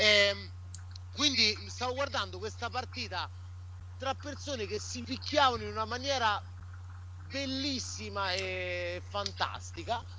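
A man talks with an animated tone at a fairly slow pace, leaving long, frequent pauses. Audible room echo carries his voice. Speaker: restaurant owner and football fan. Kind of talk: casual chat. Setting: remote call.

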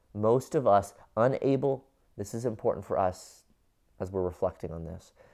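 Speaking in a Midwestern American accent, a man with a dark, mellow tone keeps a moderate pace, ordinary pitch variation and big swings in loudness on a very clean recording with a silent background. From US Midwest (Cincinnati, Ohio). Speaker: pastor. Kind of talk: sermon. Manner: halting, many fillers.

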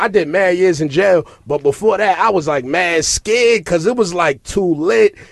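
A man's high voice with vocal fry and ordinary pitch variation. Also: moderate pace.

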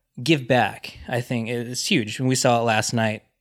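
A man speaks with a Californian accent at a moderate pace. His pitch sits in the medium range. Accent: Californian American. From US West Coast, Los Angeles. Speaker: team digital manager. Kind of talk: casual chat.

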